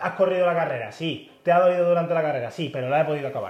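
A man at a very fast pace, with audible room echo. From Andalusia, Spain (Pilas, Seville). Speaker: podiatrist. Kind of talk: casual interview. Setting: his clinic.

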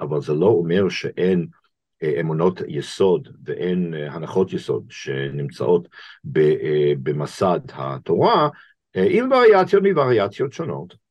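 The speaker has an English accent. The pace is fairly slow. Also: man. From US, Boston. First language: English (speaking Hebrew). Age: 60s. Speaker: rabbi and professor. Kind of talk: interview conversation. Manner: halting, many fillers.

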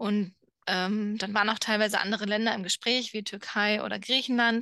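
Against a quiet background, a woman with a fairly high pitch and a bright, sharp tone speaks at a moderate pace in a monotone, flat intonation. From Germany. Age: 30s. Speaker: podcast co-host. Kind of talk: casual chat.

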